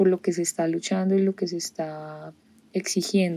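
The tone is dark and mellow, and the intonation stays fairly even. The pace is moderate. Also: woman. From Colombia, Bogotá. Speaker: singer-songwriter. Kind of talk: interview.

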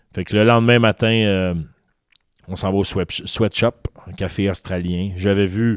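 A man's fairly low voice at a moderate pace, with fairly even intonation and a dry, close sound with no echo. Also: very clean recording, silent background. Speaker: podcast co-host. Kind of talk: casual chat. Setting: studio.

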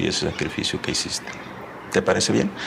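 A man talks with noticeable background noise in the recording. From Tamaulipas, northern Mexico (rural ranch near Río Bravo). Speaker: businessman and education advocate. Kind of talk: interview conversation. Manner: halting, with frequent repetitions.

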